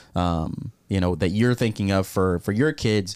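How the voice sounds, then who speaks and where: Very clean recording with a silent background: a man with a normal speaking voice, fairly low pitch, moderate pace and ordinary pitch variation. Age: 20s. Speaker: student ministry leader, podcast host. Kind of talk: casual chat.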